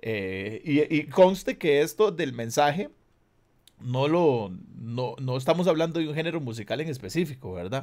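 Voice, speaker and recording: With a Costa Rican accent, a man talks at a fairly slow pace using lively intonation. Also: fairly high pitch for a man, very clean recording, silent background. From Costa Rica, San José (southern barrios). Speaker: reggae/urban musician and online talk show host. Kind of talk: casual video interview.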